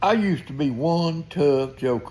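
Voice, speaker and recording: A man with a Southern US accent and lively intonation. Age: 70s. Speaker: retired tradesman vlogger. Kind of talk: casual monologue. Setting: outdoors on porch.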